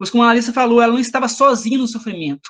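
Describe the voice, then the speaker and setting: A man's extremely high-pitched voice at a very fast clip, with fairly even intonation. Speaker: lay preacher. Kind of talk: sermon. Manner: halting.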